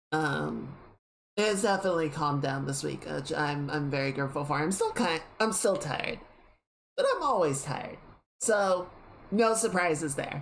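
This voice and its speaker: The intonation is lively. Audible room echo fills the recording. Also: woman, very deep, low pitch for a woman, moderate pace. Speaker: streamer. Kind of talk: casual chat. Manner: halting.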